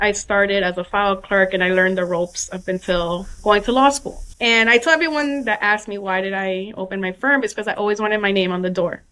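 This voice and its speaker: With an American accent, a woman talks at a fairly quick pace with hardly any pauses. Her medium pitch and ordinary pitch variation make an unremarkable speaking voice. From New York City. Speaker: personal injury lawyer. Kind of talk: casual interview.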